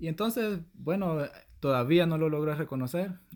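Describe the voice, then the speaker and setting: In a very clean recording with a silent background, a man with a Salvadoran accent speaks at a moderate pace. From El Salvador. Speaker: podcast host. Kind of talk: casual chat.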